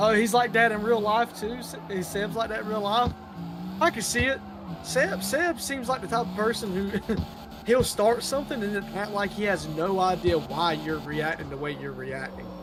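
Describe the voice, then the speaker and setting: Over noticeable background noise, a man speaks with a strong Southern US accent. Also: moderate pace. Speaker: gaming streamer. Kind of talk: casual chat.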